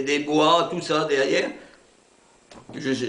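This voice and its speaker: A man with a fairly high-pitched voice is heard through noticeable background noise. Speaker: war veteran, former soldier and prisoner of war. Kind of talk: oral history interview answer, recounting wartime memories. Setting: interview recording. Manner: calm, hesitant, reflective.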